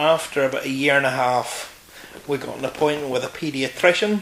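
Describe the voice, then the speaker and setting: Over noticeable background noise, a man with a Northern Irish accent talks at a fairly high pitch. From Northern Ireland, County Antrim. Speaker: interview guest. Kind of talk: casual interview. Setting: filmed interview.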